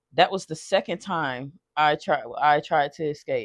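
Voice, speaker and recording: A woman with a shaky voice and lively intonation speaks over a quiet background, the sound dry and close with no echo. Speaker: storytime vlogger. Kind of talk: personal testimony. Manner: halting, repeats words.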